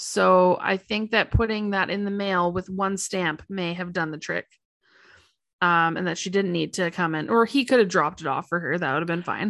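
A woman with a Canadian accent talks at a moderate pace and medium pitch, with ordinary pitch variation. She has a normal speaking voice against a quiet background. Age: 30s. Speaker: podcast co-host. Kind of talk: casual chat.

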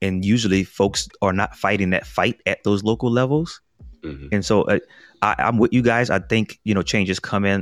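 A man with a plain, everyday voice speaks at a moderate pace, fairly low in pitch with ordinary pitch variation. The sound is dry and close with no echo, in a very clean recording with a silent background. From US South, New Orleans. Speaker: podcast host. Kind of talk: casual chat.

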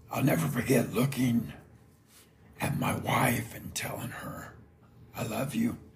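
Whispering with an American accent, a man goes at a fairly slow pace with long, frequent pauses and big swings in loudness. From Indiana, US. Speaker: lawn care business owner, podcaster. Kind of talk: scripted personal story, solo podcast.

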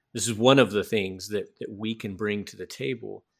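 A man with a Southern US accent speaks at a fairly low pitch. The recording is very clean, with a silent background. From US South. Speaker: podcast host and missionary. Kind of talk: casual interview conversation.

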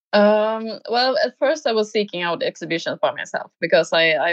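This woman speaks with a Swedish accent. Her pitch sits in the medium range. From Sweden, small village. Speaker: painter. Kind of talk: interview. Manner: halting.

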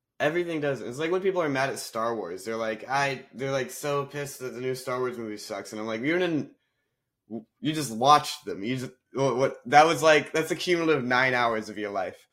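This man has an ordinary speaking voice, medium in pitch, with an American accent, ordinary pitch variation and a fairly quick pace. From US South. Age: 20s. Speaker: comedian. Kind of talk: casual chat.

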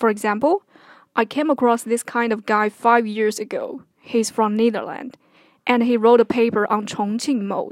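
A woman with a Chinese accent talks at a moderate pace in a fairly high pitch with fairly even intonation, the sound dry and close with no echo. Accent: Mandarin Chinese. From China (Henan). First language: Mandarin Chinese. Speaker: podcaster. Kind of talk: personal commentary monologue.

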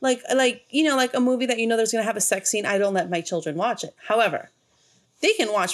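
Speaking with an American accent, a woman moves at a very fast pace with lively intonation. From US, mostly Mexican neighborhood. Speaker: horror movie podcast co-host. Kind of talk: casual chat.

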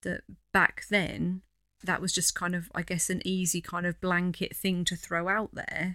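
With an East Anglian accent, a woman speaks at a fairly slow pace in a medium pitch, her tone bright and sharp and her intonation monotone and flat. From East Anglia (the Fens). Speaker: podcast host. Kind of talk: casual chat.

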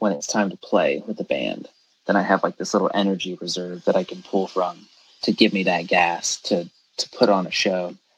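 With an American accent and a plain, everyday voice, a man speaks at a fairly quick pace and fairly low pitch, his intonation fairly even and the sound dry and close with no echo. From US South, Georgia (Statesboro). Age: 20s. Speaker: drummer. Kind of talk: casual chat.

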